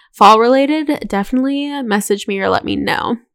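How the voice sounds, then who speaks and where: A woman with an American accent speaks in an unremarkable speaking voice, her fairly high pitch carrying ordinary variation at a moderate pace. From North Carolina, US. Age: 20s. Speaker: podcast co-host. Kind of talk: casual chat.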